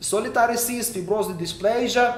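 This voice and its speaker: A man with a Ukrainian accent, high-pitched, at a moderate pace with lively intonation, amid noticeable background noise and audible room echo. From western Ukraine. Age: 30s. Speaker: oncologist. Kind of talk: lecture. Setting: online meeting. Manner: halting.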